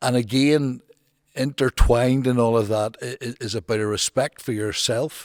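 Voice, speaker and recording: A man with a Northern Irish accent speaks at a moderate pace in a medium pitch with ordinary pitch variation. The recording is very clean with a silent background and a dry, close sound with no echo. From Northern Ireland, Newtownards. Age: 60s. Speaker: football manager and former social worker. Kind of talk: podcast interview. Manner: halting, with frequent repetitions and restarts.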